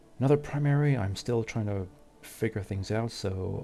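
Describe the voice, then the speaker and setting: Music in the background behind a man's fairly low voice, moderate in pace, with ordinary pitch variation. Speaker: gaming YouTuber. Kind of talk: gameplay commentary. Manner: halting.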